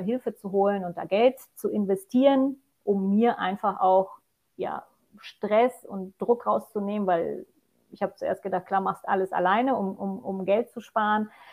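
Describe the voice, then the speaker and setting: A woman talks at a moderate pace in a plain, everyday voice of medium pitch. Her intonation stays fairly even. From Poland. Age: 40s. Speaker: mountain hiking guide. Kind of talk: podcast interview.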